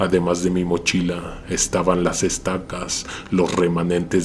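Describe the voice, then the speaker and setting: Monotone and flat, a man's very deep, low voice proceeds at a fairly slow pace. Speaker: horror story narrator. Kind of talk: horror story narration.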